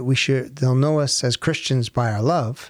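At a moderate pace, a man with a plain, everyday voice talks at a fairly high pitch with ordinary pitch variation. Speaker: podcast co-host. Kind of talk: casual chat.

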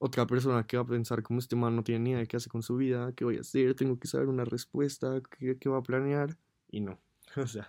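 A man speaks at a very fast pace with a medium pitch and a dark, mellow tone. His intonation is monotone and flat, and the background is quiet. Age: 20s. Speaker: podcaster. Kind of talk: personal monologue. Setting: alone in his bedroom.

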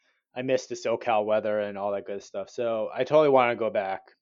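An American accent marks this man's speech, which has a fairly low pitch and a fairly quick pace. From Southern California (Cerritos). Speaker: Army veteran and marketing manager. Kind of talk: casual interview chat.

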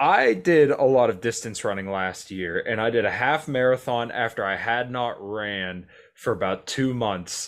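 Against a quiet background, a man with an ordinary speaking voice and medium pitch talks at a fairly slow pace with hardly any pauses. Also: ordinary pitch variation. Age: 20s. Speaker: podcast host. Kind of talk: casual interview chat. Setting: home recording.

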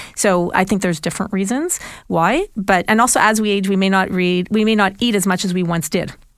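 A woman with an unremarkable speaking voice talks at a fairly quick pace and medium pitch, keeping her intonation fairly even. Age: 50s. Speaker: nutritionist. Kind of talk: casual chat.

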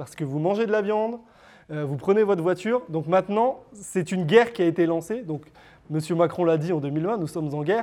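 Speaking at a fairly quick pace, the man has a high pitch, a dark, mellow tone and ordinary pitch variation. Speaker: lecturer and author. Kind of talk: lecture. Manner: hesitant, many filler words.

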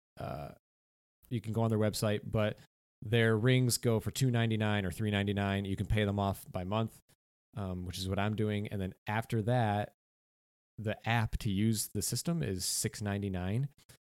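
Recorded very cleanly against a silent background, a man with a normal speaking voice and fairly low pitch talks at a moderate pace with fairly even intonation. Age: 30s. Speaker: fitness podcast co-host and coach. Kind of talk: casual chat.

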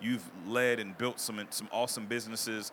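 With an American accent, a man speaks at a fairly quick pace in a bright, sharp tone. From US South (Mississippi, Arkansas), Ghanaian parents. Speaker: podcast host. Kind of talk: casual interview. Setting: live expo hall with audience.

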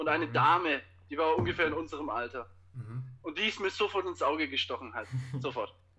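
A man's fairly high, bright, sharp voice at a fairly quick pace, with lively intonation over a quiet background. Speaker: teacher. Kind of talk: casual chat. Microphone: Bluetooth headphones via phone.

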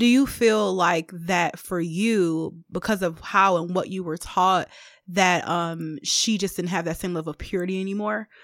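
On a very clean recording with a silent background, a woman of medium pitch talks at a moderate pace with fairly even intonation. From Detroit, US Midwest. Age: 30s. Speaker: higher education administrator and seminary student. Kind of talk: casual chat.

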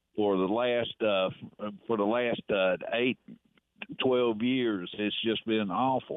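Speaking with a Southern US accent, a man moves at a very slow pace with long, frequent pauses. His loudness stays very even. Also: medium pitch for a man. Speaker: caller. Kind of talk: casual chat. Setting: phone call. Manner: halting.

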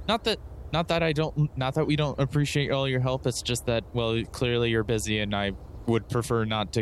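Keeping his loudness very even, a man with an unremarkable speaking voice and medium pitch talks at a fairly quick pace. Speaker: tabletop game player. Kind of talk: tabletop roleplaying game.

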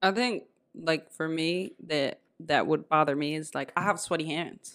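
Her pitch is very deep and low, with ordinary variation. The woman talks at a fairly slow pace. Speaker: podcast host. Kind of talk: casual chat.

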